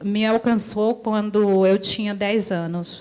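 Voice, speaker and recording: A woman speaks at a very slow pace. Her medium pitch stays monotone, with flat intonation. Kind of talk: testimony. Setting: church service. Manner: halting.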